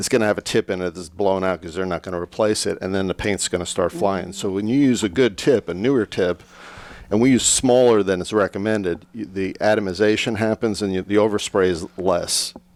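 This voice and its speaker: A man with a fairly low pitch speaks at a fairly quick pace in an ordinary speaking voice. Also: ordinary pitch variation, dry, close sound with no echo. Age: 60s. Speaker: painting contractor. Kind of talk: casual chat.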